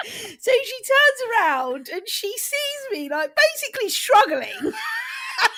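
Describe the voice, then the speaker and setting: Speaking very slowly in a raised, projected voice, a woman with an English accent reaches an extremely high pitch and makes very wide pitch swings. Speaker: podcast co-host. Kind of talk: casual podcast conversation.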